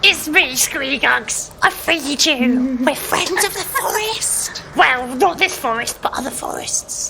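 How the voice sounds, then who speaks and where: A put-on character voice comes at a high pitch and a fairly slow pace. Clear background noise can be heard. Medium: actual play. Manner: casual, chatty.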